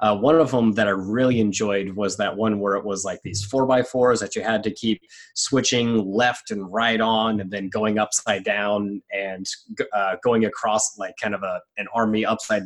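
Monotone and flat, a man talks at a fairly slow pace in a fairly low pitch. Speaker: obstacle racer. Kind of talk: casual chat.

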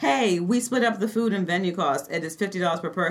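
The speaker reads in a natural reading voice, with ordinary pitch variation.

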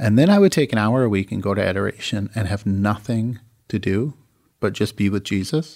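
A man speaks at a fairly low pitch with an American accent and ordinary pitch variation. The recording is very clean, with a silent background. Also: fairly quick pace. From Michigan, US. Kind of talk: interview.

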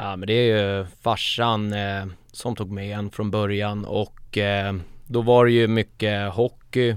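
Very slow, monotone, flat delivery from a man at a fairly low pitch, on a very clean recording with a silent background. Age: 30s. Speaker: football supporter group founder. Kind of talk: casual interview.

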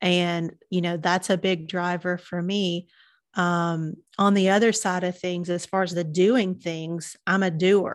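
In a Southern US accent, a woman talks in a monotone with flat intonation. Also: fairly low pitch for a woman, fairly slow pace. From Chattanooga, Tennessee, US South. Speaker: marketing business owner. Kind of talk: casual interview chat.

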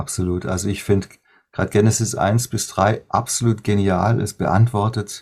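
A man speaks at a moderate pace with a fairly low, somewhat breathy voice. His tone is dark and mellow, and the recording is very clean with a silent background. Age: 50s. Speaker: worship musician and songwriter. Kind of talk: interview.

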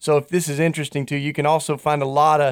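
A man's fairly high voice in monotone, flat intonation, with a dry, close sound and no echo. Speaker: radio co-host. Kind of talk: casual chat.

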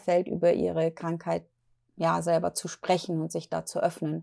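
A woman talks at a fairly slow pace in a very clean recording with a silent background. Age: 40s. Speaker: podcast host, mental health speaker. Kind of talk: solo podcast monologue. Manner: hesitant, many fillers.

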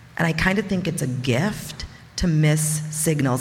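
Noticeable background noise and audible room echo fill the clip. The speaker is a woman with a fairly low pitch. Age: 40s. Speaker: storyteller. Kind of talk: testimony. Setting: stage with audience.

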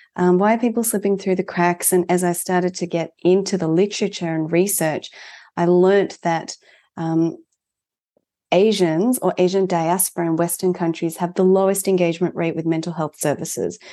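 In an Australian accent, a woman speaks at a moderate pace with a fairly low pitch and a dark, mellow tone. Her intonation is fairly even, and the background is quiet. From Melbourne, Australia (born in Japan, moved at four). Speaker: mental health organisation founder, therapist. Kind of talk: interview conversation.

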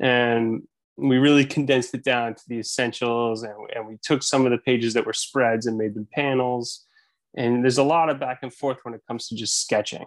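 A man with an unremarkable speaking voice of medium pitch, fairly quick in pace and fairly even in intonation, with big swings in loudness over a quiet background. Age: 30s. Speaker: author and illustrator. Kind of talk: casual interview.

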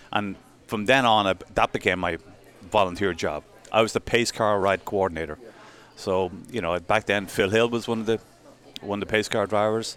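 A man's fairly low voice in an Irish accent, fairly even in intonation, with long, frequent pauses and music in the background. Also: moderate pace. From Ireland. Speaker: sponsorship and marketing executive. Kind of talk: casual chat.

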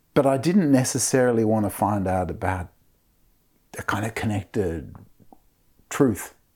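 A man with a fairly low pitch and a dark, mellow tone speaks with ordinary pitch variation on a very clean recording with a silent background. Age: 50s. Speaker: author and professor. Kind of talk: interview conversation.

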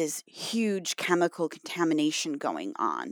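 Recorded very cleanly with a silent background and a dry, close sound with no echo, a woman with an American accent speaks at a fairly low pitch with lively intonation. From US Midwest, Michigan. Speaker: science journalist. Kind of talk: interview.

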